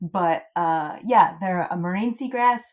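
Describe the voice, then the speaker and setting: This woman has a plain, everyday voice, medium in pitch with ordinary pitch variation, and speaks at a moderate pace. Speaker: podcast host, seagrass researcher. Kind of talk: casual chat.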